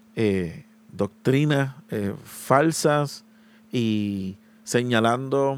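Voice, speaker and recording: A man speaks with lively intonation. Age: 20s. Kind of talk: solo podcast monologue. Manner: hesitant, many filler sounds.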